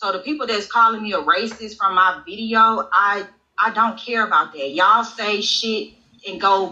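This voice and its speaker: The voice has a Mississippi accent and a bright, sharp tone. It moves at a moderate pace. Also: woman. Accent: Southern US (Mississippi). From Mississippi, US South. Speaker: interview guest. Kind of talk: casual live-stream interview. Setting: live stream.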